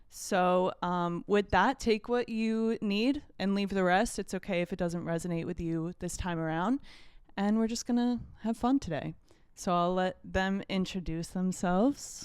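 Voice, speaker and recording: On a very clean recording with a silent background, a woman with an unremarkable speaking voice talks fairly slowly at a medium pitch with ordinary pitch variation. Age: 20s. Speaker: podcast host, holistic health coach. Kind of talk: casual chat.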